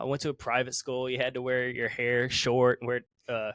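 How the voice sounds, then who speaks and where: A man in a Southern US accent at a medium pitch and moderate pace, with monotone, flat intonation and a dry, close sound with no echo. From US South, South Carolina. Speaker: musician. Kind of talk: casual chat.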